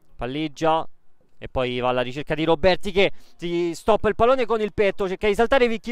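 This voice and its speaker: On a very clean recording with a silent background, a man speaks in a high voice with lively intonation. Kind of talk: live sports commentary.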